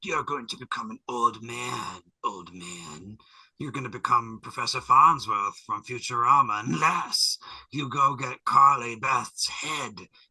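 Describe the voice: Putting on a raspy character voice, a man speaks with a menacing tone at a medium pitch and a fairly slow pace.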